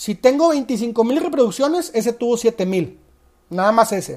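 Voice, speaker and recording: A woman's very slow speech in a Mexican accent, with a dark, mellow tone. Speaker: sports betting podcast host. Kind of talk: casual monologue. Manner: halting, repeats words.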